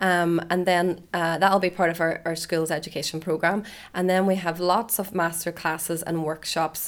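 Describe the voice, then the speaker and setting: A woman's fairly low voice with a Northern Irish accent, monotone and flat at a fairly quick pace, in a very clean recording with a silent background. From Northern Ireland. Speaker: festival press officer. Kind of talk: interview.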